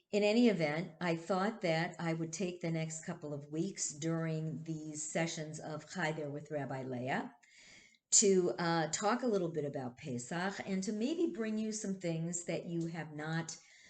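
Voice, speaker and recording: A woman talks at a fairly slow pace with ordinary pitch variation, and audible room echo follows her words. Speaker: rabbi. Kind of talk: casual talk to congregation. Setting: video stream. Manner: halting.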